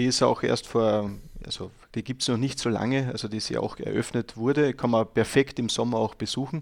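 Medium pitch from a man, fairly even intonation and a moderate pace, in a very clean recording with a silent background. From Austria, Styria. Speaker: guest talking about his country. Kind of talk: casual interview. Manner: halting, many fillers.

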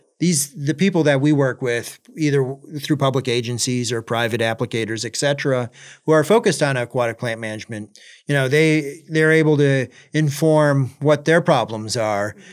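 A man with an unremarkable speaking voice talks at a moderate pace and fairly high pitch. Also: ordinary pitch variation, very clean recording, silent background. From US Midwest, central Michigan. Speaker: professor and invasive plant scientist. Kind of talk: casual interview.

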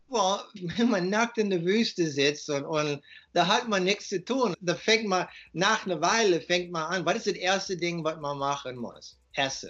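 A high-pitched man's voice with an English accent. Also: ordinary pitch variation, fairly slow pace. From USA. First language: English (speaking German). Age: 50s. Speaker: author and raw food advocate. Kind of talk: interview. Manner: halting.

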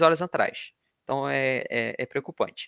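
A man's bright, sharp tone at a moderate pace, on a very clean recording with a silent background. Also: dry, close sound with no echo. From Brazil, Rio de Janeiro. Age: 20s. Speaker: podcast host, environmental engineering student. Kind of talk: casual informative podcast chat.

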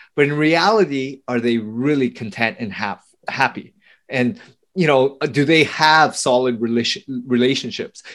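A man with a plain, everyday voice, an American accent, a medium pitch, ordinary pitch variation and a moderate pace. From US, Vietnamese family. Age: 40s. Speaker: podcast host. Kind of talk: interview.

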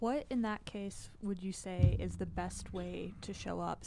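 Moderate pace in a very clean recording with a silent background. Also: woman. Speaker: podcast co-host. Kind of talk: casual podcast conversation. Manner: laughs often, expressive.

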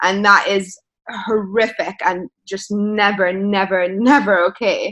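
Speaking with a London accent, a woman uses a medium pitch, a bright, sharp tone and fairly even intonation. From London, England. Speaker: journalist and author. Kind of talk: interview conversation.

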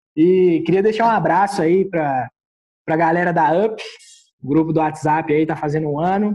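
The tone is dark and mellow. Delivery comes at a moderate pace with fairly even intonation. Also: man. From Minas Gerais, Brazil. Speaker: guest beer taster. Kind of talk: casual chat.

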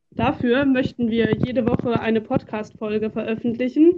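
A woman speaks in a normal speaking voice at a moderate pace. Her pitch is fairly high and her intonation fairly even. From Germany, Duisburg (Ruhr area). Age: 20s. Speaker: podcast co-host, student teacher of religion. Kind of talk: scripted podcast trailer.

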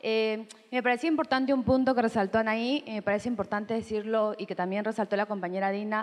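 This is a plain, everyday voice. It moves at a fairly quick pace with fairly even intonation. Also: woman. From Peru. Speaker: audience member. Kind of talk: audience comment. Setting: room with audience.

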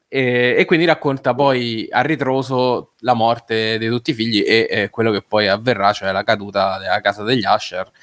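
With fairly even intonation, a man talks in an unremarkable speaking voice. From Rome. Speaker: writer and podcast co-host. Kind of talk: casual chat.

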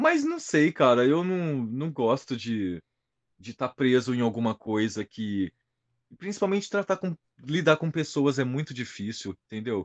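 Against a quiet background, a man with a plain, everyday voice talks at a fairly slow pace with lively intonation. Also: medium pitch for a man. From interior of São Paulo state, Brazil (São José do Rio Preto). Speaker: heavily tattooed body-modification personality. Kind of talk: casual interview.

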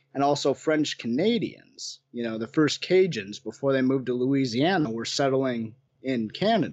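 With an American accent, a man at medium pitch uses an unremarkable speaking voice, talking at a moderate pace with lively intonation and hardly any pauses. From western Wisconsin, US Upper Midwest. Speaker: paranormal researcher. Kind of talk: casual interview.

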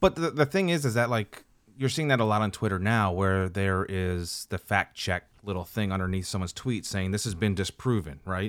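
Dry and close with no echo, a man with a normal speaking voice talks at a fairly low pitch and a moderate pace, with ordinary pitch variation and hardly any pauses. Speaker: podcast co-host. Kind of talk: casual banter. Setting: recorded on Zoom.

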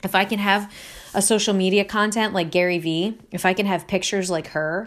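In an American accent, the speech runs at a fairly quick pace with ordinary pitch variation, on a very clean recording with a silent background. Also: woman. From Delaware County, Pennsylvania. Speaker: podcast host and life coach. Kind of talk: casual solo monologue.

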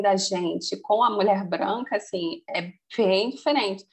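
The woman's voice is somewhat breathy. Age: 30s. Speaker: finance professional. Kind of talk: casual interview. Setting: remote call.

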